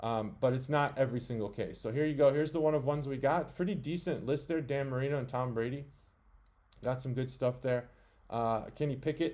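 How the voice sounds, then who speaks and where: At a fairly quick pace, a man talks in a medium pitch with fairly even intonation. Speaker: sports card analyst. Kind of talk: tutorial. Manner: fast.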